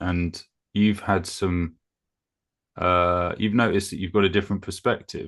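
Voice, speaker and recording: Against a quiet background, a man with a very deep, low voice speaks at a moderate pace in monotone, flat intonation, leaving long, frequent pauses. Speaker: masculinity therapist. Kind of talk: interviewer questions.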